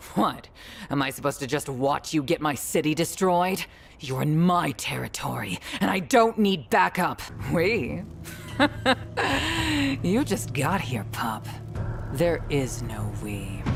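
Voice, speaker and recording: A gruff put-on character voice at a low-to-middle pitch moves at a fairly slow pace with long, frequent pauses over clear background noise. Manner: blunt and dismissive.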